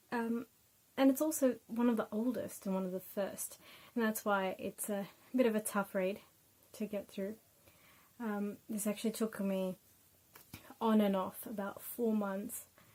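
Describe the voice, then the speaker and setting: Somewhat breathy and fairly high, a woman's voice with a dark, mellow tone moves at a fairly slow pace with long, frequent pauses. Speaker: book reviewer, YouTuber. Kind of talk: casual book review. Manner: hesitant, many fillers.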